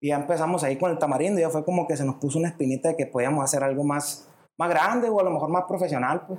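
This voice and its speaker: Speaking very fast, a man uses a northern Mexican accent. His pitch is fairly high with ordinary variation. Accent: northern Mexican (Sonora). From Hermosillo, Sonora, Mexico. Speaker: musician and songwriter. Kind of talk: casual interview chat.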